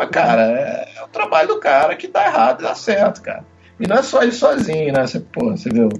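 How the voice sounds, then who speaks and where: A man speaks at a fairly quick pace, with noticeable background noise behind him. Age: 40s. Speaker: football fan guest. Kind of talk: casual chat.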